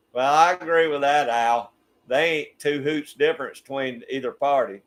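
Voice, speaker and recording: In a Southern US accent, a man talks at a moderate pace with a fairly high pitch. His pitch variation is ordinary. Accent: Southern US (Georgia). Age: 60s. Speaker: YouTube channel host. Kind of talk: casual chat. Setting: livestream.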